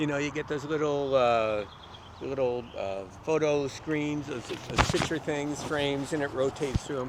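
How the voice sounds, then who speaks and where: Noticeable background noise sits behind a man with a fairly high pitch. He speaks at a moderate pace with ordinary pitch variation. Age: 60s. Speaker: local history author. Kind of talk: casual chat. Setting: outdoors.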